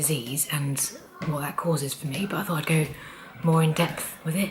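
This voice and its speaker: Breathy and very deep, a woman's low voice keeps a fairly even intonation against noticeable background noise. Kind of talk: casual talk to camera.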